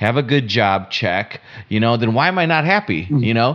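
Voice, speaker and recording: This man has a plain, everyday voice at a medium pitch. His intonation is lively. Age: middle-aged. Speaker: podcast co-host, entrepreneur. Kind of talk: casual chat.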